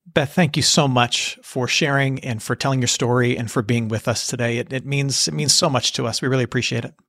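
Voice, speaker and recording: With an unremarkable speaking voice at medium pitch, a man talks at a fairly quick pace with ordinary pitch variation and hardly any pauses. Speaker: podcast host. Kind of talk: interview.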